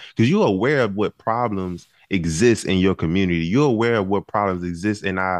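A man's plain, everyday voice, fairly low in pitch, with ordinary pitch variation, a fairly quick pace, hardly any pauses and a quiet background. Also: dry, close sound with no echo. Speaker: call-in participant. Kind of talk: testimony. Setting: video call.

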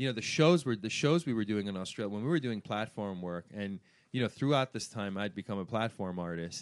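A man with an American accent speaks in a fairly low voice with lively intonation. It is a normal speaking voice. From Iran, raised in Washington DC/Virginia area. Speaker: hair industry brand manager. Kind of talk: interview. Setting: salon.

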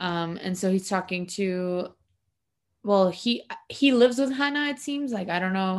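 With an unremarkable speaking voice, a woman speaks at a fairly slow pace and a medium pitch. Her intonation is lively, and the background is quiet. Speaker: podcast co-host recapping episode. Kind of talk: casual chat. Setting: home recording with cat nearby.

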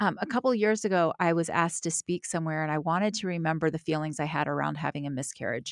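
At a very fast pace with hardly any pauses, the speaker uses an American accent and ordinary pitch variation. The recording is very clean, with a silent background and a dry, close sound that has no echo. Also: woman, fairly low pitch for a woman. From US South. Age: 50s. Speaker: entrepreneur and author. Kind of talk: casual interview chat.

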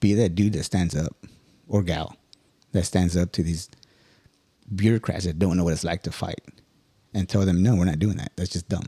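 A man talks at a moderate pace with very deep, low pitch and fairly even intonation, leaving long, frequent pauses. The sound is dry and close, with no echo. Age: 40s. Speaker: Marine senior enlisted. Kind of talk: casual chat.

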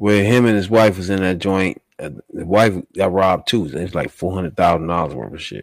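A man with a very deep, low pitch speaks fairly slowly with hardly any pauses, ordinary pitch variation and big swings in loudness. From Washington DC area. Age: 40s. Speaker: podcast host. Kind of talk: casual chat.

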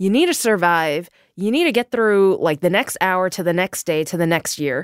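A woman at a fairly slow pace, recorded dry and close with no echo. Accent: New York. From New York City, Queens. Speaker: novelist. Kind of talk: interview conversation. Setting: studio.

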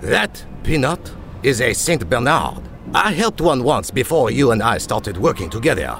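Over noticeable background noise, a man at a medium pitch speaks at a moderate pace, his pitch swinging very widely while his loudness stays very even. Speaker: actor voicing the dog detective character. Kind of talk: children's audio drama dialogue. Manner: performs a gruff big-dog voice as Morty.

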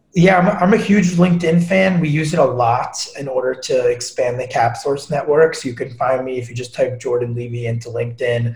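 A man with an American accent speaks at a fairly quick pace and fairly high pitch with lively intonation. Noticeable background noise runs underneath. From New York, Long Island. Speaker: ed tech entrepreneur. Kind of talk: casual interview. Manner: animated.

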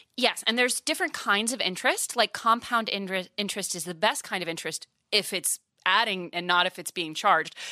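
A woman speaks at a medium pitch and a fairly quick pace, with ordinary pitch variation and a plain, everyday voice. The recording is very clean, with a silent background and a dry, close sound with no echo. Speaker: personal finance media founder and host. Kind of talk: casual interview. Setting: studio.

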